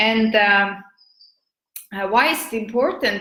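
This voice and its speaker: Audible room echo surrounds a woman speaking at a fairly high pitch and a moderate pace. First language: Estonian. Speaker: business and marketing coach. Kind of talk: live video talk. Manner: halting, many fillers.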